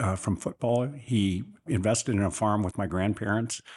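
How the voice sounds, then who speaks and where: A man with an American accent speaks in a plain, everyday voice. His pitch is fairly low, his pace moderate and his pitch variation ordinary. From Northern California, rural Sutter County. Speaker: businessman. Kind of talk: interview.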